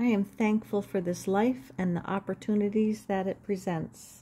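A woman speaks at a fairly slow pace in a calm, gentle tone, her medium-pitched voice dark and mellow, somewhat breathy, with fairly even intonation over light background noise. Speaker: spiritual card reader and video creator. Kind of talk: guided meditation. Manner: calm, gentle, reflective. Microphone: phone near.

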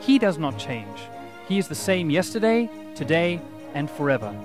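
Clear music plays behind a man with a South African accent whose pitch swings very widely, in a dry sound with no echo. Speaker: math teacher. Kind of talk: teacher introduction to camera. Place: street.

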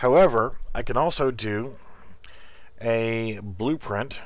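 A man speaks very slowly at a medium pitch with ordinary pitch variation. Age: 40s. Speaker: game developer streamer. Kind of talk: tutorial. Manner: halting.

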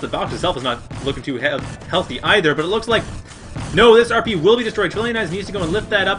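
With music in the background, a man talks at a very fast pace, high-pitched and with lively intonation. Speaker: game commentator. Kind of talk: live esports play-by-play commentary.

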